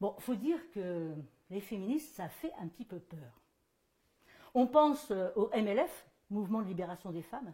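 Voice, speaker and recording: A woman at a medium pitch, somewhat breathy and dark, mellow in tone, with very wide pitch swings, big swings in loudness and long, frequent pauses. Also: moderate pace. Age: 60s. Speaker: performer giving a gesticulated lecture. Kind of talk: stage monologue. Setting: stage with audience. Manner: animated.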